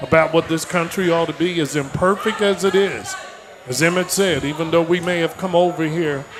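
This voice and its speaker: A man with an American accent speaks at a moderate pace in a high voice with fairly even intonation, with noticeable background noise and audible room echo. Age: 70s. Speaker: political speaker. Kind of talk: political speech. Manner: impassioned.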